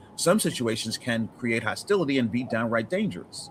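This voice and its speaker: A man's medium-pitched voice with very wide pitch swings over noticeable background noise. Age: 60s. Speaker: podcast guest. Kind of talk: casual discussion. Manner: articulate.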